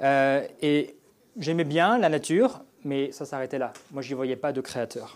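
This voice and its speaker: Pitched fairly high, a man talks at a very slow pace with ordinary pitch variation. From France. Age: 30s. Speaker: former fighter pilot. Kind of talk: testimony. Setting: church.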